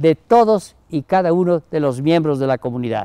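Against a quiet background, a man's warm, dark and mellow tone moves through very wide pitch swings, the sound dry with no echo. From Mexico, Chiapas (Comitán); Chiapas, Mexico. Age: 80s+. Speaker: Jesuit priest, emeritus professor. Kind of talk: recorded message to university community. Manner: warm, informal. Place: garden. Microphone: lapel.

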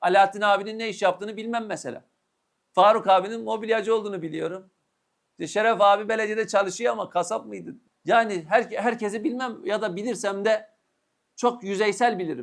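Delivered at a fairly quick pace, the speech comes from a very clean recording with a silent background. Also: man, high pitch for a man, ordinary pitch variation. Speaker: Islamic preacher. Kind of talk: sermon.

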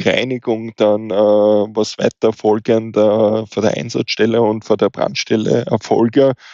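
At a very slow pace, a man speaks with fairly low pitch and fairly even intonation. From eastern Austria, Wiener Neustadt. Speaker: fire safety officer. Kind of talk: podcast interview.

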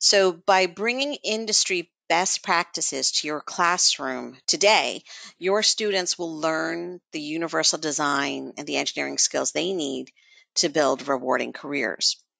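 In a dry, close sound with no echo and a quiet background, a woman speaks at a fairly slow pace with a fairly low pitch, vocal fry, lively intonation and a bright, sharp tone. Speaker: education outreach team member. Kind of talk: webinar presentation. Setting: online webinar.

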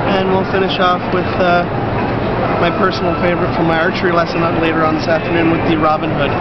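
A man rattles off words at a very fast pace against loud background noise. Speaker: sales demonstrator. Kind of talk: live sales pitch demo at a trade show. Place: market.

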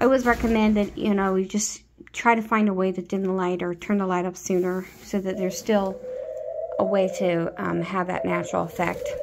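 Fairly quick, fairly even speech over noticeable background noise. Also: woman. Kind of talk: casual vlog chat. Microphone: phone near.

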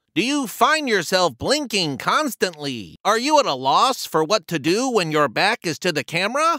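Fairly slow pace on a very clean recording with a silent background. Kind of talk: TV commercial read.

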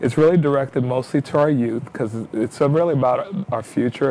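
Speaking with an American accent, a man keeps a fairly quick pace and fairly even intonation over light background noise. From New York. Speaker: city mayor. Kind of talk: interview. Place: studio.

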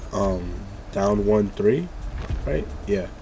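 There is noticeable background noise behind this man. He speaks at a fairly low pitch in an animated tone. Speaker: gaming YouTuber. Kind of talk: gameplay commentary. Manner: casual, animated.

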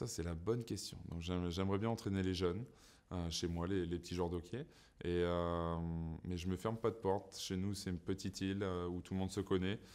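A man's very deep, low voice, flat and monotone, at a fairly quick pace. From Saint-Pierre-et-Miquelon. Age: 30s. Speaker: professional ice hockey player. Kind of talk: interview answers. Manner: hesitant, many fillers and repetitions. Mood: relaxed, smiling. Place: studio.

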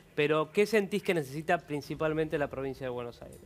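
Speaking in an ordinary speaking voice, a man talks at a fairly quick pace with a fairly high pitch and ordinary pitch variation. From Argentina. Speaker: TV show host. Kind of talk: TV talk show. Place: studio.

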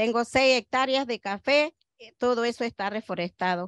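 Against a quiet background, a woman speaks with ordinary pitch variation in a dry sound with no echo. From Panama. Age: 60s. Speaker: coffee farmer. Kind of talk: interview. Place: garden. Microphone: handheld.

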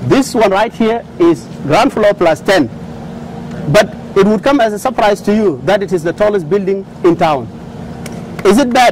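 A man's high voice with lively intonation and long, frequent pauses, against noticeable background noise. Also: moderate pace. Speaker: oil company executive. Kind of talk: speech; interview. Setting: studio.

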